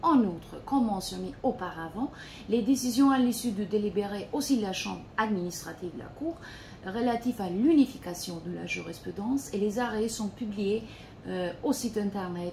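A woman speaking at a moderate pace over light background noise. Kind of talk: formal presentation. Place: office. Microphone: phone near.

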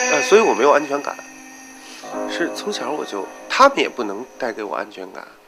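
Clear music plays in the background as a man talks at a fairly quick pace, broken by long, frequent pauses. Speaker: tailor and drag queen performer. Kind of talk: documentary interview answer. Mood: reflective, bitter about childhood. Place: home room.

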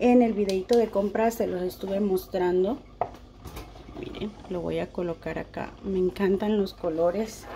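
The intonation stays fairly even, and noticeable background noise can be heard. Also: woman, medium pitch for a woman, fairly slow pace. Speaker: home decor YouTuber. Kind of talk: tutorial. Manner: warm and affectionate.

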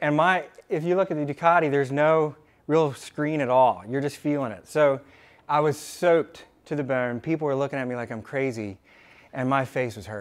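A man's fairly high voice at a fairly quick pace, ordinary pitch variation and big swings in loudness. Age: 30s. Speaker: company founder and president. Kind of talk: motivational talk at staff meeting. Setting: company meeting room with staff. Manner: casual, with filler words. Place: meeting room.

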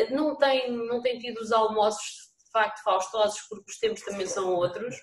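At a moderate pace, a woman talks at a fairly high pitch with ordinary pitch variation. Audible room echo surrounds her voice. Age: 40s. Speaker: municipal vice-mayor. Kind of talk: council meeting debate. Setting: video call. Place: home room. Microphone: video call.

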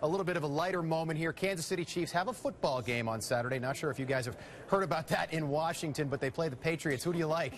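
Talking very fast, the man sounds somewhat breathy and uses lively intonation. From Massachusetts, USA. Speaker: TV news anchor and reporter. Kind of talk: TV interview questions.

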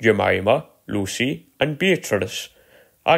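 It is a natural reading voice. Behind it the background stays quiet.

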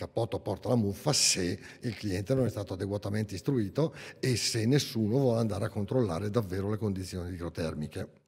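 A man speaks at a very fast pace in a fairly low, somewhat breathy voice. His pitch varies in an ordinary way against a quiet background. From northern Italy, Bergamo; Italy. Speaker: engineer and window consultant; presenter. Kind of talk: technical seminar talk. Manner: halting, with frequent self-corrections. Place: hall. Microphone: podium.

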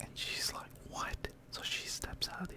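A man's voice under loud background noise. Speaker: storyteller vlogger. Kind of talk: casual storytelling. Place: home room. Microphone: studio mic.

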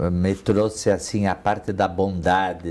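A man's very deep, low pitch carries a dark, mellow tone and a monotone, flat intonation. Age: 60s. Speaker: retired business executive. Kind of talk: interview. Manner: halting. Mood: warm, reminiscing. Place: office. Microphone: lapel.

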